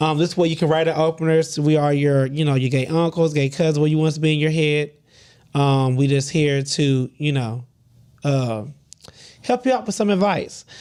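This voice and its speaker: A mumbling man with a fairly high pitch keeps a moderate pace, very even loudness and ordinary pitch variation. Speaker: podcast co-host. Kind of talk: casual chat.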